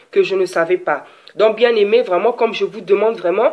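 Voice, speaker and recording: At a moderate speed, a woman uses an ordinary speaking voice, fairly high in pitch with ordinary pitch variation. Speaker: preacher. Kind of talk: sermon.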